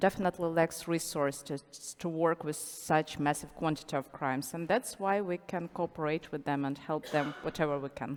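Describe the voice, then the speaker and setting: A woman with a Ukrainian accent, a very deep, low pitch, ordinary pitch variation and a moderate pace. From Ukraine. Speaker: international criminal lawyer. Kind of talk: panel discussion.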